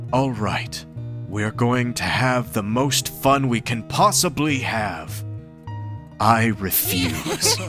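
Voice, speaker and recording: Over clear background music, a man puts on a character voice at a medium pitch and speaks very slowly. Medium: fan dub. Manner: resolute, warm, solemn.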